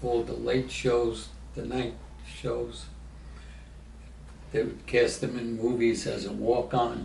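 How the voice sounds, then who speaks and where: Very slow and broken by long, frequent pauses, a man speaks with an American accent. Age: 80s+. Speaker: former city government aide. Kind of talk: interview answer.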